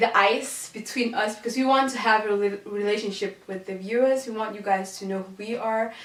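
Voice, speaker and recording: With a Danish accent, a woman speaks at a moderate pace and fairly high pitch. Her intonation is fairly even, and there is noticeable background noise. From Denmark, Odense. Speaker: podcast co-host. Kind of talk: casual chat.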